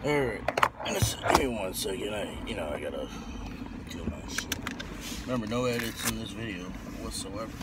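A man talks at a moderate pace with a dry sound and no echo. Loud background noise fills the recording. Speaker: vlogger. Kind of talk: casual vlog chat. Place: car. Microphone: phone near.

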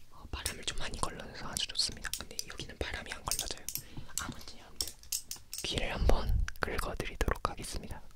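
Over loud background noise, a soft-spoken man talks at a fairly quick pace with a dry sound and no echo. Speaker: ASMR creator. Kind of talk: casual ASMR chat. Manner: soft close-mic ASMR speech. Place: home room. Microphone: studio mic.

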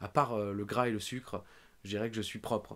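A man is speaking. His pace is fairly quick. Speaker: wrestling podcast host. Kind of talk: casual chat. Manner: fast; animated. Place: home room. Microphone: studio mic.

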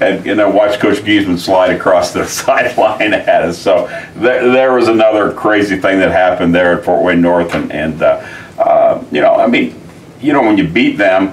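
A man speaks at a moderate pace. His loudness stays very even throughout. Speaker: football coach. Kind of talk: interview answer. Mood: fond, amused reminiscing. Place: office.

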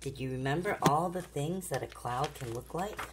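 A woman with a warm, gentle tone amid noticeable background noise. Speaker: grandmother reading to her granddaughter. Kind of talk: children's bedtime story reading. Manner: warm, gentle, interactive. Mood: gentle, warm, soothing. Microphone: phone near.

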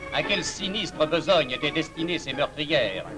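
Over music in the background, a high-pitched man talks at a moderate pace with ordinary pitch variation. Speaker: newsreel narrator. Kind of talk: propaganda newsreel narration.

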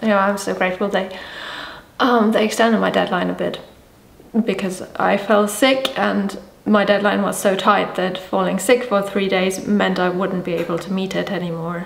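This woman's voice sits at a medium pitch, with fairly even intonation at a moderate pace. The room gives off an audible echo. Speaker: illustrator. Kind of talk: casual vlog talk to camera. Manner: mumbling, unscripted. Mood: animated, slightly exasperated. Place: home room.

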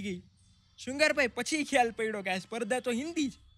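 A man's extremely high-pitched voice, dry with no echo. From Gujarat, India. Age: young. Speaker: comedian. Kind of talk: interview storytelling. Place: garden. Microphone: studio mic.

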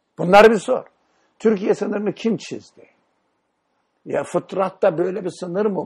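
A man is speaking. The background is quiet. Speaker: Islamic teacher leading a study session. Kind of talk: religious lecture with discussion.

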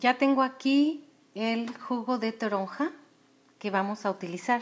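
Her pitch is fairly high for a woman. She speaks at a fairly slow pace. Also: ordinary pitch variation. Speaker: essential oil distributor. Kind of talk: cooking demonstration with product promotion, casual talk to camera. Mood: calm, friendly. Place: kitchen. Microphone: phone near.

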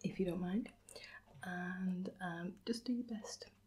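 A somewhat breathy woman speaks at a fairly slow pace with fairly even intonation. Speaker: quiz host. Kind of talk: casual to-camera chat asking quiz questions. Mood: warm, playful, gentle. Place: home room. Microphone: phone near.

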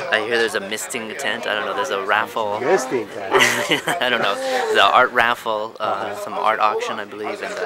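Against crowd noise in the background, a man talks at a fairly quick pace with ordinary pitch variation, in a dry sound with no echo. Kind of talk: casual interview answer. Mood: amused, joking. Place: garden. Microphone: phone near.

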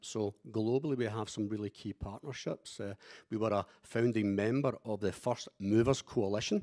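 Against a quiet background, a man talks with a Scottish accent. His pace is moderate and his pitch variation ordinary. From Scotland. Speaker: company executive; panelist. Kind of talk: panel discussion. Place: hall. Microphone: handheld.

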